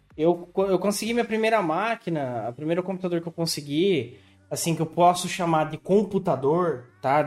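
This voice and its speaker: A man's high-pitched voice with ordinary pitch variation at a moderate pace. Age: 30s. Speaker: podcast host. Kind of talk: casual chat.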